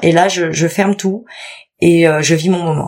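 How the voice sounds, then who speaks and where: A woman's fairly low pitch and fairly even intonation in a plain, everyday voice. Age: 30s. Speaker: mother sharing birth story. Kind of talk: testimony.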